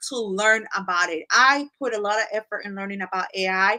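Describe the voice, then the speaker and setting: At a fairly quick pace, a woman speaks in a bright, sharp tone at a fairly high pitch, with a dry, close sound and no echo. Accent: Spanish. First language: Spanish. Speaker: business coach and content creator. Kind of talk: live tutorial. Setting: livestream. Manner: animated.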